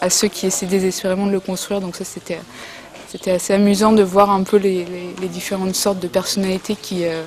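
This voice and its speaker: A woman's medium-pitched voice at a fairly quick pace, monotone and flat, with noticeable background noise. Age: 20s. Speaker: photography student and artist. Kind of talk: artist interview. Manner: halting, many hesitations and repetitions.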